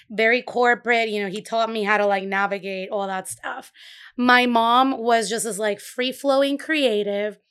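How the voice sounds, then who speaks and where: A woman with a Puerto Rican accent, fairly high in pitch, at a moderate pace with fairly even intonation, on a very clean recording with a silent background. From Puerto Rico. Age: 30s. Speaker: bakery owner. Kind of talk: casual interview. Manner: vibrant.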